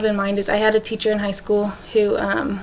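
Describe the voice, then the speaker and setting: A woman with a fairly high-pitched voice is heard above noticeable background noise. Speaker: education student. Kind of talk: class presentation video. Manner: fast; casual, lots of fillers.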